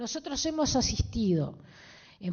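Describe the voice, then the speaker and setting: Her pitch swings very widely as a woman speaks at a fairly slow pace. Her voice is somewhat breathy. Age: 60s. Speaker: politician, party representative in a debate. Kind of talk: public debate. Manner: animated.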